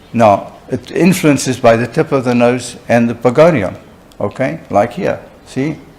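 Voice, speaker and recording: A man at a fairly slow pace, lively in intonation, with noticeable background noise. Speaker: oral and maxillofacial surgeon lecturer. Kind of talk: lecture. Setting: conference hall with live interpreter.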